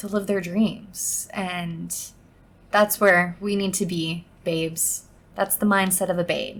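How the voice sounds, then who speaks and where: Speaking at a very slow pace, a woman sounds somewhat breathy, with a medium pitch and monotone, flat intonation. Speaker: podcast host. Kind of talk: casual solo podcast monologue.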